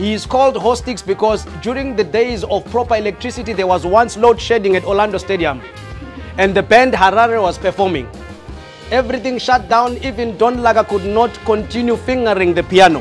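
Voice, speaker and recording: A man's high-pitched voice at a fairly quick pace, with ordinary pitch variation and faint music in the background. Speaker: host giving a toast. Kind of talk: toast speech. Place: bar.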